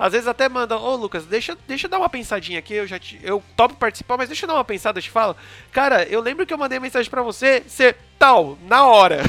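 With music in the background, a man speaks in a raised, projected voice at an extremely high pitch, very fast and with lively intonation, in a dry, close sound with no echo. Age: 20s. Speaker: podcast host. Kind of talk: casual interview chat.

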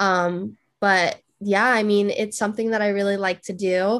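A woman talks in an American accent. The background is quiet. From California. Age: 20s. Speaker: engineering psychologist and self-taught designer. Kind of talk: casual interview chat.

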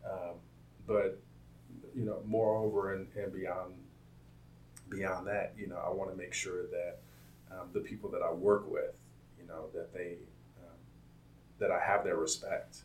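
A man with an American accent at a fairly slow pace, big swings in loudness, long, frequent pauses, audible room echo and noticeable background noise. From Compton, California. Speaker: software engineer. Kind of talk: interview. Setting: office campus.

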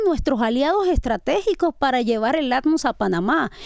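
Pitch swings very widely as the speech keeps a moderate pace. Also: woman. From Panama. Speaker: music event organizer. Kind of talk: casual chat. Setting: studio.

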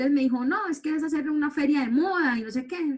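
Fairly quick pace with ordinary pitch variation. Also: woman. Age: 40s. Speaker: public relations professional and blogger. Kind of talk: interview testimony. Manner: hesitant with many fillers.

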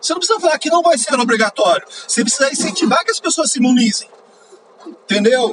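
Over noticeable background noise, a man talks very fast at an extremely high pitch with very wide pitch swings. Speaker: podcaster. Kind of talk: angry rant about politics, swearing at the government and vaccine policy. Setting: in a car, driving, poor audio quality. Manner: heated, exasperated, loud and emphatic, punchy rhetorical questions; casual, chatty, informal slang.

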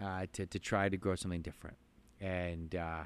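The speaker has an Ontario accent and talks at a moderate pace. The intonation stays fairly even. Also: man. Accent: Canadian (Ontario). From southern Ontario, Canada. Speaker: farmer and plant nursery owner. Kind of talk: casual interview. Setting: inside a greenhouse on a farm. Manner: halting, many fillers and repetitions.

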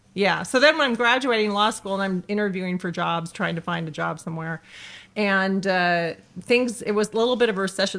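A woman with an American accent speaks in an ordinary speaking voice at medium pitch. Her ordinary pitch variation comes through in a very clean recording with a silent background. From California, Los Angeles (Canoga Park). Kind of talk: interview testimony.

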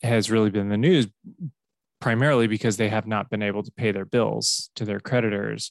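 A man speaks at fairly low pitch with ordinary pitch variation, in a General American accent. The sound is dry and close with no echo, against a quiet background. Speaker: podcast host. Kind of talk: casual chat. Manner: animated, joking.

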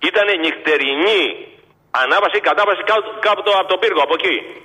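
The man's voice is high-pitched and fairly quick. Noticeable background noise runs under it. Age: 60s. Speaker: caller, former truck driver. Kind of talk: phone-in call.

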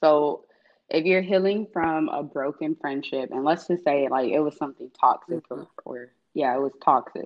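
A woman with an American accent and a very deep, low pitch, at a moderate pace. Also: ordinary pitch variation. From US South, Atlanta, Georgia. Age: 20s. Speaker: young professional. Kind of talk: casual chat.

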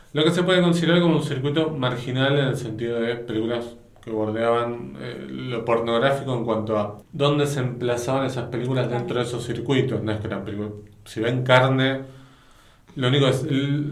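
With a Rioplatense accent, a man talks at a moderate pace and medium pitch with fairly even intonation, amid audible room echo and noticeable background noise. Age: 40s. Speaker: podcast host, film critic. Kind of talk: casual chat.

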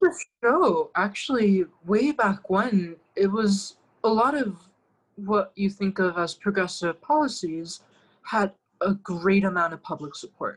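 A woman speaks at a medium pitch with a somewhat breathy voice. Her intonation is lively and her pace fairly slow. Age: 20s. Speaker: political candidate and lecturer. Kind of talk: interview, political discussion.

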